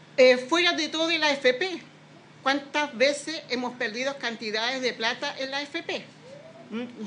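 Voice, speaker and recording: The speaker is a woman with a high pitch. She talks at a moderate pace with ordinary pitch variation. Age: 60s. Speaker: retired bakery worker. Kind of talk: testimony. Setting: bakery, at a press event. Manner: halting.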